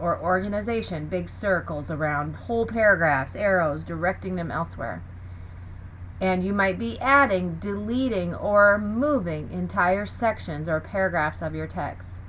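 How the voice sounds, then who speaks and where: A woman's very deep, low voice with vocal fry and very wide pitch swings, at a fairly slow pace, with audible room echo. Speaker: teacher. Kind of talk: lecture. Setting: home basement.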